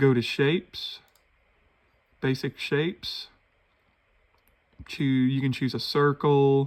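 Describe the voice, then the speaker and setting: A man speaks at a very slow pace, leaving long, frequent pauses. His intonation stays fairly even. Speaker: woodburning hobbyist. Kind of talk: tutorial. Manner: slow, slightly halting.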